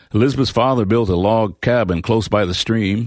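At a moderate pace and medium pitch, a man with an unremarkable speaking voice shows ordinary pitch variation on a very clean recording with a silent background. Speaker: audiobook narrator. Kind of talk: scripted storytelling narration, reading a novel excerpt aloud with character voices. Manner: warm, gentle, expressive.

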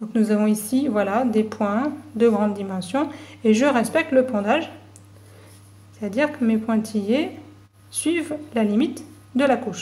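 A woman with a fairly high pitch and a dark, mellow, somewhat breathy tone speaks at a fairly slow pace with ordinary pitch variation. Her long, frequent pauses come through audible room echo. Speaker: university geology lecturer. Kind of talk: tutorial. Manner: clear, measured explanation.

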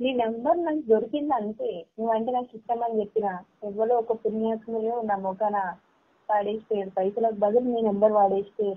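A woman speaks in an ordinary speaking voice. Her pitch sits fairly high, with fairly even intonation. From Telangana, Karimnagar district; Telangana. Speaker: caller. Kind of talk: phone conversation. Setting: phone call. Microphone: voice breaking up on the line; phone line.

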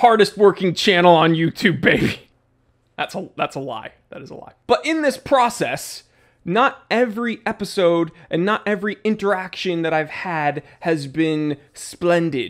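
Against a quiet background, a man speaks at a fairly slow pace with lively intonation and big swings in loudness. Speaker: watch channel host. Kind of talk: casual vlog chat. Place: home room. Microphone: studio mic.

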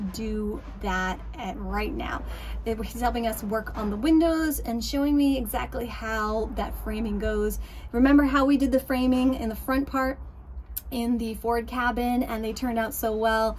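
The woman keeps a moderate pace while light background noise is heard. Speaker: boat restorer vlogger. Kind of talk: casual vlog chat. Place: boat. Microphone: phone near.

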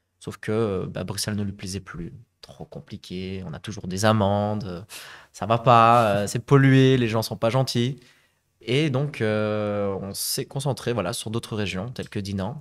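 A man speaks at a very slow pace with a fairly low pitch and ordinary pitch variation. His loudness swings widely against a quiet background. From Flanders, Belgium (Zaventem); Flanders, Belgium. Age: 30s. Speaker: real estate investor and conference interpreter; podcast guest. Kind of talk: interview. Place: studio. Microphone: studio mic.

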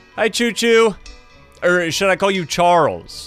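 There is faint music in the background. A man speaks in a dry sound with no echo. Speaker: gaming streamer. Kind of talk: gameplay commentary. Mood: joking, playful.

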